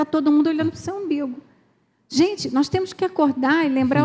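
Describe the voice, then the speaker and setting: A woman speaks with a high pitch. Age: 60s. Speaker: pastor's wife. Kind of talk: sermon.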